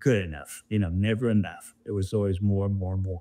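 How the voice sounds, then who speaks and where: A man with an ordinary speaking voice talks at a fairly low pitch with fairly even intonation. The recording is very clean, the background silent. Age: 60s. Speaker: former amateur golfer. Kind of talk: interview.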